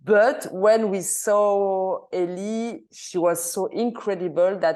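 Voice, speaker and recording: A woman with a French accent speaks in a dark, mellow tone with ordinary pitch variation over a quiet background. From Switzerland. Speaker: film director. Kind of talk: Q&A interview. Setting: video call into cinema. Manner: halting, many hesitations.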